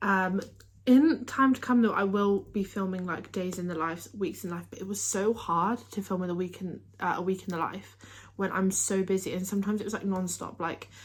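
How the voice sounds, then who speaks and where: A fairly quick pace drives this somewhat breathy voice. Its pitch variation is ordinary. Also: woman, medium pitch for a woman. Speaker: tennis player and vlogger. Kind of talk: casual vlog talk to camera. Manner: occasional stumbles and filler words.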